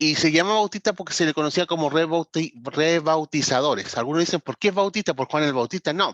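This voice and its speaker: A man with an unremarkable speaking voice talks at a fairly quick pace with hardly any pauses, his fairly high voice showing ordinary pitch variation in a dry, close sound with no echo. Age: 40s. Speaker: pastor and ministry trainer. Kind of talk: online lecture. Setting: video call.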